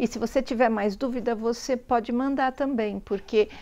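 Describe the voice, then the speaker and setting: This woman's voice is fairly high in pitch. It has a dark, mellow tone. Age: 60s. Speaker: pet vlogger. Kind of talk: casual vlog talk.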